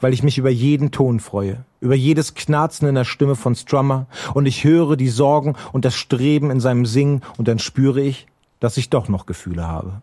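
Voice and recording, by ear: This man has a dark, mellow tone at a medium pitch. He talks at a moderate pace with few pauses and ordinary pitch variation.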